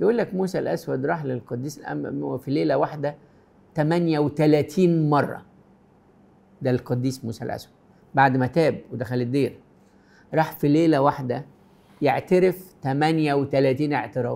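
This man speaks at a fairly slow pace in a dark, mellow tone, with ordinary pitch variation. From Egypt. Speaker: Coptic priest answering viewer questions. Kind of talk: pastoral advice answering read-out questions. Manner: warm, gentle. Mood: warm, gentle, reassuring. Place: studio.

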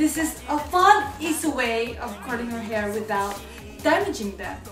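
Very wide pitch swings mark the speech, delivered at a moderate pace with clear music in the background. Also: woman, high pitch for a woman. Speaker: hair tutorial vlogger. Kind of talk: casual talk to camera. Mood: annoyed, in pain. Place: bathroom. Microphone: phone near.

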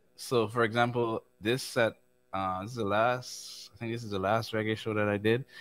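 At a moderate pace, a man speaks in a medium pitch with monotone, flat intonation. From Caribbean islands. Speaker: keyboard player; guest. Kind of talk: casual interview with screen-share tutorial. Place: studio.

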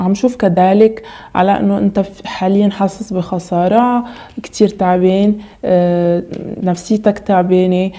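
A woman talks at a very slow pace. Her intonation is monotone and flat. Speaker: tarot reader. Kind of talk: tarot reading monologue.

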